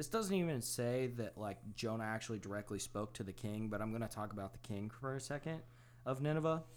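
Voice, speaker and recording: A man with a normal speaking voice talks at a fairly quick pace in a medium pitch, with ordinary pitch variation. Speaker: podcast co-host. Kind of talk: casual chat.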